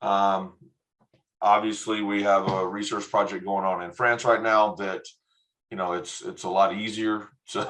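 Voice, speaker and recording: A man speaks in a Texan accent at a fairly slow pace, his fairly low voice monotone and flat. Long pauses come often. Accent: Texan American English. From Texas. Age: 50s. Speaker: education non-profit director. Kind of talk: online workshop presentation. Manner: hesitant, many fillers.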